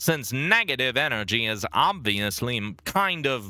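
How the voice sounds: This is a natural reading voice. It is used throughout.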